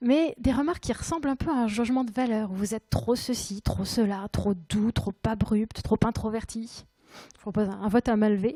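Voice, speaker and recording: At a moderate pace, a woman with a fairly high pitch and a dark, mellow, somewhat breathy tone shows ordinary pitch variation, with a dry, close sound with no echo on a very clean recording with a silent background. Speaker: conference speaker. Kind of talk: conference talk. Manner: hesitant.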